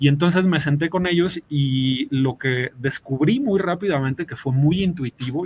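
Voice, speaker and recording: With a Mexican accent, a man talks at a moderate pace and a fairly high pitch, his pitch varying in an ordinary way, in a dry, close sound with no echo. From Mexico. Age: 40s. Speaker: game master. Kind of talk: interview. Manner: halting.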